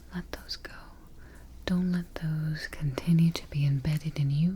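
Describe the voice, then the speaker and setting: Soft-spoken and very deep in pitch, a woman talks at a fairly slow pace in a calm, soothing tone with fairly even intonation. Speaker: ASMR artist playing a sleep expert. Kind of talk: ASMR sleep roleplay with guided relaxation. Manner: soft-spoken, calm, slow, soothing.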